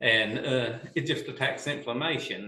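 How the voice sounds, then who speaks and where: A man talks at a moderate pace, with audible room echo. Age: 50s. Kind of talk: casual chat.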